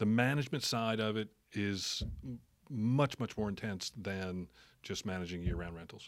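An American accent in a man's plain, everyday voice, fairly low-pitched, at a moderate pace with ordinary pitch variation, very clean recording with a silent background. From New Jersey (Jersey Shore). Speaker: city council member and realtor. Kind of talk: casual interview.

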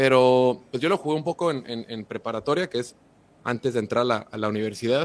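With a Mexican accent, a man talks at a fairly quick pace, his medium pitch showing ordinary pitch variation. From Mexico. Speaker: football content creator. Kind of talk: podcast interview.

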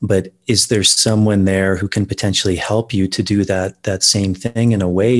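On a very clean recording with a silent background, a man with an American accent speaks at a moderate pace in a very deep, low pitch and a monotone, flat intonation. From United States. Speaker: ayahuasca ceremony facilitator. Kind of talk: interview conversation. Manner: hesitant, many repetitions and fillers.

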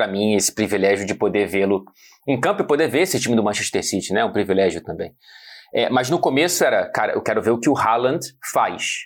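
A man speaks at a fairly quick pace in a medium pitch, his voice swinging very widely up and down, on a very clean recording with a silent background. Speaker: football journalist. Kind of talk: casual explainer chat.

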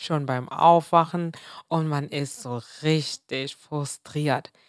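Recorded very cleanly against a silent background, a woman talks at a very slow pace with a dry, close sound and no echo. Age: 20s. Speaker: podcast host, entrepreneur. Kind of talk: solo motivational podcast monologue.

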